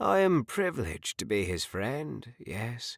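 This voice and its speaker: A man's put-on character voice at a fairly slow pace, with very wide pitch swings, in a very clean recording against a silent background. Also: medium pitch for a man. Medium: read story. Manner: warm, grandfatherly.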